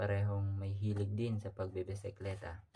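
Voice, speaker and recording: A man speaks at a moderate pace in a fairly low pitch, his dark, mellow tone somewhat breathy. Light background noise sits behind him. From Philippines, Occidental Mindoro; Philippines. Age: 20s. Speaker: college student; speaker. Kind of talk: self-introduction. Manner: halting. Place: home room. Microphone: webcam.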